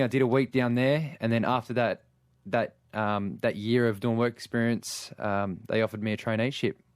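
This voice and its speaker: The recording is very clean with a silent background. A man speaks at a medium pitch and fairly quick pace with fairly even intonation. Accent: Australian. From Australia, Sydney. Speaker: lifeguard. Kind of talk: radio interview. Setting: radio studio.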